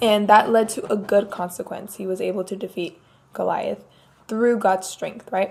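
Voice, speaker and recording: This woman has a medium pitch and a monotone, flat intonation. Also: moderate pace. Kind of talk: Bible study talk. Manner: casual.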